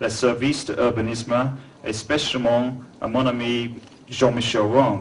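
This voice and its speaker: Speaking at a very slow pace with a strong English accent, the voice carries audible room echo and noticeable background noise. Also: man. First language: English (speaking French). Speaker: museum founder and art collector. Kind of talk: formal speech.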